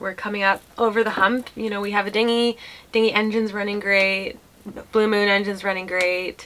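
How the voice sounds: Her pitch sits at a medium level and moves little. The woman's tone is fairly bright.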